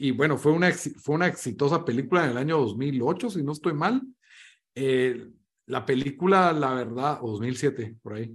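A man's fairly high voice, an ordinary speaking voice, with ordinary pitch variation at a moderate pace. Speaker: podcast host. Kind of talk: casual chat.

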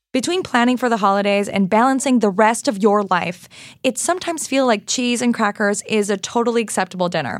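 Speaking fairly quickly, a woman uses a plain, everyday voice with ordinary pitch variation. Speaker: podcast host. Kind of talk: casual chat.

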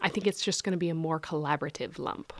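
On a very clean recording with a silent background, a woman with an ordinary speaking voice talks at a fairly quick pace, fairly low in pitch with fairly even intonation. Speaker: gallery director. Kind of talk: casual interview.

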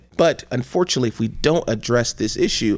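A man with a Midwestern American accent, talking at a very fast pace. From US Midwest, Cleveland, Ohio. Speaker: state legislator. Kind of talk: interview conversation. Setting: studio.

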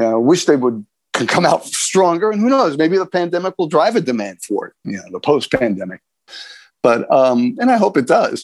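A man with a high pitch speaks at a moderate pace, his pitch swinging very widely. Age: 60s. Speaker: homeschooling advocate. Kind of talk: casual interview chat. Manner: halting, many repeated words.

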